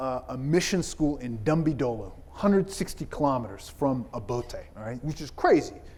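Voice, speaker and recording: A plain, everyday voice from a man, fairly high, moving at a moderate pace with lively intonation. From South Carolina, US South (born in Ethiopia). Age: 40s. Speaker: pastor. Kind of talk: keynote speech. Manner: conversational, many fillers.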